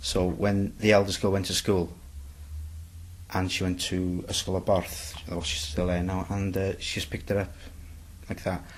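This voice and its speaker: Speaking at a fairly quick pace, a man with a North Welsh accent has a very deep, low pitch, a somewhat breathy sound and fairly even intonation. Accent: Bangor Welsh English. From Bangor, north Wales. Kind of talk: interview answer.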